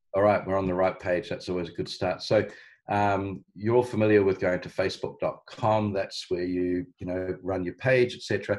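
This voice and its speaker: Delivered at a moderate pace, the speech carries a strong New Zealand accent and fairly even intonation. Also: man, fairly low pitch for a man, quiet background. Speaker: marketing business founder, ads instructor; ads instructor. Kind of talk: live online training tutorial. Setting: live video call webinar. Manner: hesitant, many ums and uhs. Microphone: video call.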